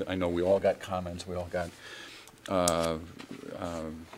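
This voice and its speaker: With light background noise behind him, a man talks at a fairly slow pace in a very deep, low voice with monotone, flat intonation. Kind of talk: formal meeting remarks. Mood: somber, grieving tone. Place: hall.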